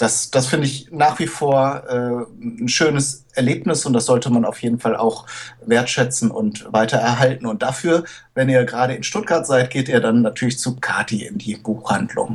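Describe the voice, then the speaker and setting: At a medium pitch with ordinary variation, a man speaks in a somewhat breathy voice. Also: moderate pace. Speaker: podcast co-host. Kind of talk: casual chat. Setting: home, daughter nearby.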